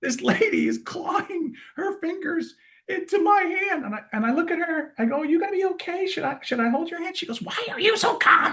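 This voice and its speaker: A man with an American accent projects his voice at an extremely high pitch, with a bright, sharp tone. He moves at a fairly quick pace with lively intonation. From US Northeast, Rochester, New York. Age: 60s. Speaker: keynote speaker and healthcare experience executive. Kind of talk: casual interview chat. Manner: animated.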